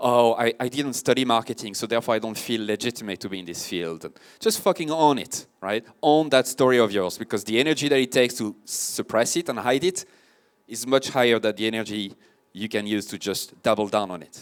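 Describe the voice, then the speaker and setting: On a very clean recording with a silent background, a man of medium pitch speaks at a fairly quick pace with a French accent, ordinary pitch variation and big swings in loudness. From France. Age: 30s. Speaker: marketing consultant and podcast host. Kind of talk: conference talk. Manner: casual, animated.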